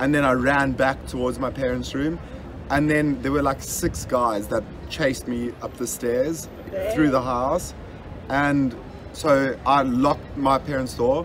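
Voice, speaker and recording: There is noticeable background noise as a man talks with ordinary pitch variation. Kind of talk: casual storytelling among friends. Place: boat. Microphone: phone near.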